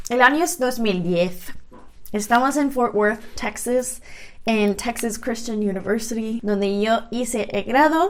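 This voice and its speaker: A woman with an English accent speaks at a fairly high pitch with ordinary pitch variation. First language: English (speaking Spanish). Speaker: language vlogger. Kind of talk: casual vlog explanation.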